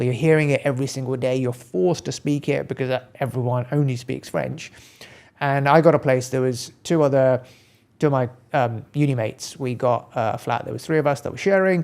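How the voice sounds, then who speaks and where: A man with a British accent talks at a fairly quick pace and medium pitch, with ordinary pitch variation, on a very clean recording with a silent background. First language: Gujarati. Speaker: accountant and practice owner. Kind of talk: casual interview chat.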